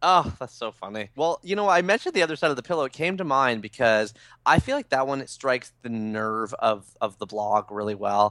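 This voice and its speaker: With a bright, sharp tone, a man talks at a fairly quick pace with very wide pitch swings and hardly any pauses, the sound dry and close with no echo against a quiet background. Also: medium pitch for a man. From Toronto, Canada. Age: 30s. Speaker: author. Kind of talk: interview.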